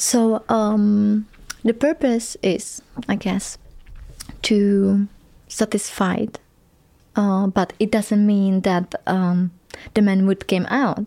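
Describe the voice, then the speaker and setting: On a very clean recording with a silent background, a woman with a Czech accent speaks very slowly with long, frequent pauses in a dark, mellow, medium-pitched voice, her loudness very even and her intonation fairly even. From Czech Republic. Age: 20s. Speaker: tantric massage therapist. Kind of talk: interview. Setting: studio.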